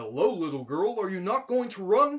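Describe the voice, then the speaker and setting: Using a put-on character voice, a man speaks in a raised, projected voice. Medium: read story. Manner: gentle, earnest.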